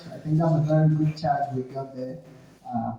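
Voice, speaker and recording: Noticeable background noise and audible room echo surround the voice. A man speaks with fairly even intonation. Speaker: speaker on communication with a PhD. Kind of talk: seminar talk.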